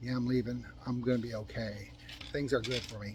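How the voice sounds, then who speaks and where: A man talks very fast in a medium pitch. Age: 60s. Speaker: motivational vlogger. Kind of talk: casual motivational monologue. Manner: halting.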